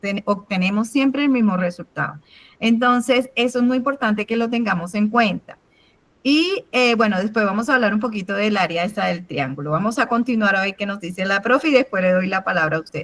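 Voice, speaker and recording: Speaking at a fairly quick pace, a woman has a fairly high pitch and lively intonation. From Cuba. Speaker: math teacher. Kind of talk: online class.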